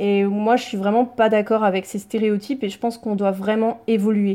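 On a very clean recording with a silent background, a woman speaks at a fairly quick pace in a fairly high pitch with a dark, mellow tone. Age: 30s. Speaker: naturopath. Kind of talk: casual interview.

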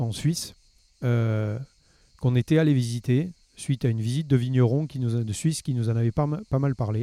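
A man at medium pitch with ordinary variation, a dark, mellow tone, a fairly quick pace and long, frequent pauses, with a dry, close sound with no echo on a very clean recording with a silent background. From southern France, Gard near Nîmes. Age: 50s. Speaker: winegrower and fruit farmer. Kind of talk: interview. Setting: outdoors in a park. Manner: halting, many fillers and repetitions.

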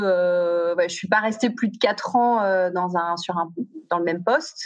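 Her delivery is very slow, and the woman's pitch varies in an ordinary way. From southern France (Aix-en-Provence), teens in Paris. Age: 40s. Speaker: youth coach, founder of a teen program. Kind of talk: podcast interview. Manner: halting, many repetitions and fillers.

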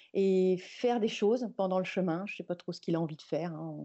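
The speaker is a woman whose pitch is medium. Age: 50s. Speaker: newborn photographer. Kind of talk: interview. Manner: halting.

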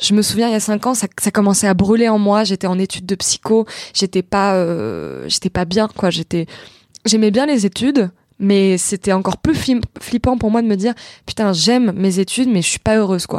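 The recording is very clean, with a silent background and a dry, close sound without echo. A woman speaks at medium pitch with ordinary pitch variation. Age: 20s. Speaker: actress and internet comedian. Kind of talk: casual chat. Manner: halting.

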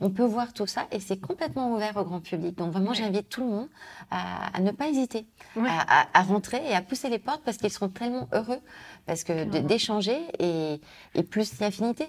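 On a very clean recording with a silent background, the speech moves at a fairly quick pace with lively intonation. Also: woman, medium pitch for a woman. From France, Lyon. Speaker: director of a fashion business incubator. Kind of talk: interview. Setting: office. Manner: halting.

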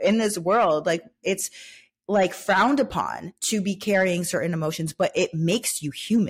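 A woman speaks at a moderate pace in a medium pitch, somewhat breathy, with ordinary pitch variation. The recording is very clean, with a silent background. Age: 20s. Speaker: podcast host. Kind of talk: casual solo monologue. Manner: animated.

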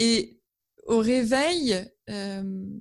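A woman speaks with a somewhat breathy voice. Her pitch varies in an ordinary way. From northern France, Amiens (Picardy). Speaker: author and graphic designer. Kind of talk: interview. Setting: video call. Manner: hesitant, with fillers and repetitions.

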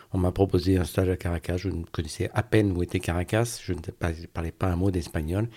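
A man's very deep, low voice, somewhat breathy with a dark, mellow tone, at a fairly quick pace on a very clean recording with a silent background. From Brittany, Brest. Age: 50s. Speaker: finance director. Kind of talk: interview testimony. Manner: halting.

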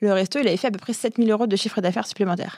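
The sound is dry and close with no echo, on a very clean recording with a silent background. A woman talks with ordinary pitch variation. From Algeria and France. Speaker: startup founder. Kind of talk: interview. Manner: fast.

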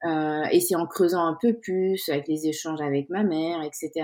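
A woman's dark, mellow tone moves along at a moderate pace. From Senegal (Dakar). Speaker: insurance consultant and women's network founder. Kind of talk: interview. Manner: hesitant, many repetitions.

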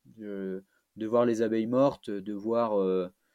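A man's dark, mellow voice at medium pitch moves at a very slow pace over a quiet background. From France, Auvergne (Clermont-Ferrand). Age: 20s. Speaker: trail runner. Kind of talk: long-form interview. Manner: halting, many hesitations.

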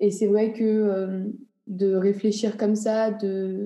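Her intonation stays monotone and flat. The woman's tone is dark and mellow. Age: 20s. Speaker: interviewee sharing views on death. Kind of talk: interview testimony.

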